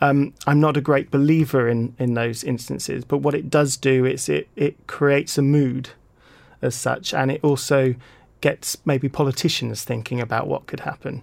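The speaker has an English accent and fairly even intonation. The pace is moderate. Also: man, medium pitch for a man. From UK. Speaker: peace-through-sport program ambassador. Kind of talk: radio interview. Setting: studio.

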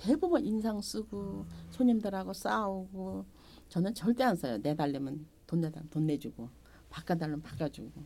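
With a dark, mellow tone and a fairly low pitch, the woman speaks at a moderate pace while her pitch swings very widely. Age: 70s. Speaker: market shop owner. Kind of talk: interview.

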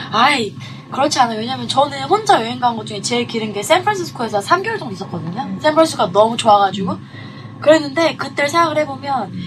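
Over noticeable background noise, a woman with a fairly high pitch races along at a very fast pace, her pitch swinging very widely and her loudness rising and falling sharply. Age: young. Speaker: illustrator. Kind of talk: casual chat.

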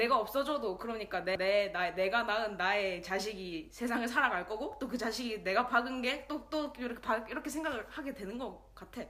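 Against noticeable background noise, a woman talks at a fairly quick pace with hardly any pauses, using a fairly high pitch and ordinary pitch variation. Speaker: podcast co-host. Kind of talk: casual chat.

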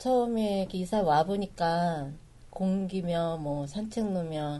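This woman has a fairly low voice. Her tone is dark and mellow. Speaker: mother, local resident. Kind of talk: casual chat.

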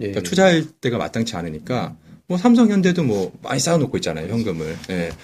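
Here a man talks at a very fast pace with medium pitch and vocal fry. His pitch swings very widely. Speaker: stock investing podcaster. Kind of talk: casual chat.

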